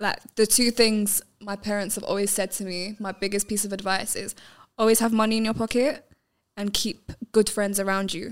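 Speaking in a medium pitch with a London accent, a woman keeps a moderate pace and a monotone, flat intonation in a very clean recording with a silent background. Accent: London English (MLE). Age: young. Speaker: filmmaker and boxing coach. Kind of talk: casual chat.

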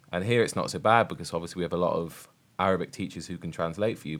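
A man with a very deep, low voice and a British accent, on a very clean recording with a silent background. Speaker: podcast host, primary teacher. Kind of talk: casual discussion podcast.

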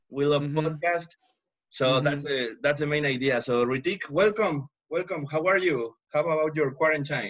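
With a Spanish accent, a man speaks at a moderate pace in a fairly high pitch, his pitch variation ordinary. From Mexico. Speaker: podcast host. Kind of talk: casual interview. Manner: halting, repeats words.

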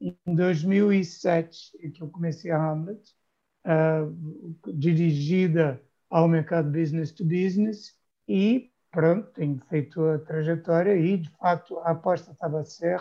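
A man talks at a very slow pace in a high-pitched voice. His tone is dark and mellow, with ordinary pitch variation. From Brazil, Rio de Janeiro. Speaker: B2B marketing agency founder and copywriter. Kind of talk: interview conversation. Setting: remote recording.

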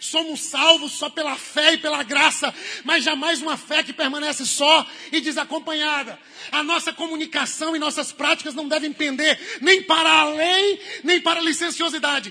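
A man's raised, projected voice at an extremely high pitch, moderate in pace and monotone, flat, over noticeable background noise. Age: 30s. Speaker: pastor. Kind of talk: sermon.

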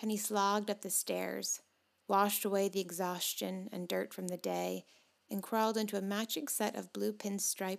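What you hear is an unforced reading voice.

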